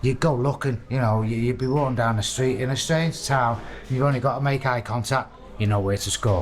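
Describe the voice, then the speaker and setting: Noticeable background noise sits under a man's medium-pitched voice. He talks at a fairly quick pace with fairly even intonation. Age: 60s. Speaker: prisoner in addiction recovery. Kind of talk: casual chat. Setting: prison recovery wing. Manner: halting.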